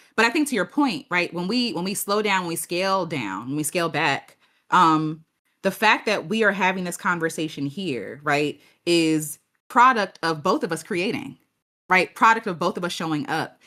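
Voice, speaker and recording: Lively intonation and a bright, sharp tone mark this woman's fairly low-pitched voice at a moderate pace, on a very clean recording with a silent background. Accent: American. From Maryland, US. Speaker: YouTuber and artist. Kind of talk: casual interview conversation. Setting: podcast stream. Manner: animated, conversational.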